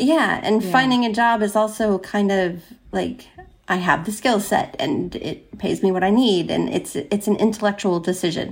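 A woman's medium-pitched voice with vocal fry and an American accent, at a moderate pace with ordinary pitch variation. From southern Oregon, US Pacific Northwest. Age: 50s. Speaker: advice seeker. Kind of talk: casual chat.

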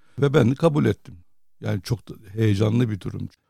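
A man with a fairly low pitch, a plain, everyday voice and ordinary pitch variation, in a dry, close sound with no echo. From Cyprus. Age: 60s. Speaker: photojournalist. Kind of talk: interview.

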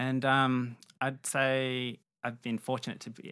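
A man speaks with an Australian accent at a medium pitch. His tone is bright and sharp. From Melbourne, Australia. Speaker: painter. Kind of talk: interview. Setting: studio.

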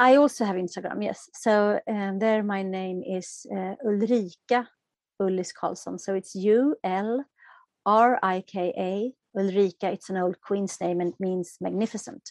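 Speaking at a fairly slow pace in a Swedish accent, a woman keeps her intonation fairly even, and the sound is dry and close with no echo. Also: medium pitch for a woman. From Sweden, Stockholm. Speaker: author and yoga therapist. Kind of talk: interview. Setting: remote call.

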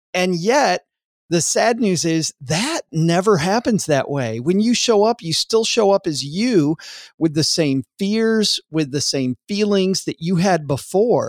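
A man's high voice with lively intonation at a very slow pace, dry and close with no echo. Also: very clean recording, silent background. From US Midwest, West Michigan. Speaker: author and podcast host, former financial advisor. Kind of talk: casual interview.

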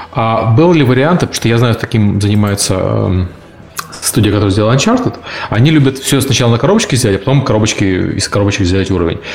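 Noticeable background noise sits under a man talking at a very fast pace and a medium pitch. His loudness is very even, with ordinary pitch variation. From Ukraine. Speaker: podcast co-host. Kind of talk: casual chat. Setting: video call.

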